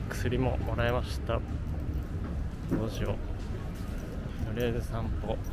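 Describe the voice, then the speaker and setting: A man speaks at a fairly slow pace with long, frequent pauses. The sound is dry with no echo, but loud background noise is present. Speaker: vlogger. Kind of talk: casual vlog talk to camera. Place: street. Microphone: phone near.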